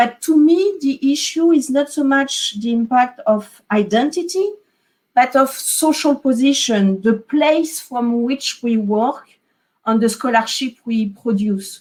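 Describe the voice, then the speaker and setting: A woman speaks with a French accent and a high pitch. Her intonation is lively and her pace fairly slow. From France. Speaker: historian. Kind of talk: academic panel discussion. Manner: hesitant, many fillers.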